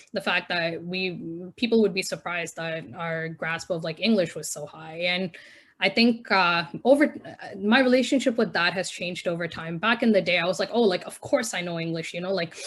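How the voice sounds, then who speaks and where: Her loudness swinging widely, a woman at a medium pitch speaks at a fairly quick pace with ordinary pitch variation. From India, moved to Canada at twelve. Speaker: spoken word poet. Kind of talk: interview. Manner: casual, filler-heavy.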